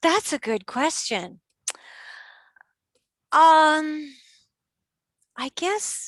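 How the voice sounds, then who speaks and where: Over a quiet background, a woman with a high pitch and lively intonation talks at a very slow pace, leaving long, frequent pauses, in a dry, close sound with no echo. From Canada. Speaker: tour operator. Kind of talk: interview answer.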